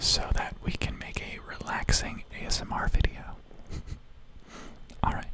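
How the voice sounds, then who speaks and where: A man whispers in a soothing tone at a moderate pace. He takes long, frequent pauses over noticeable background noise. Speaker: video editor. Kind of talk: ASMR whisper ramble while editing video. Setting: close-mic home recording. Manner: whispered, soothing.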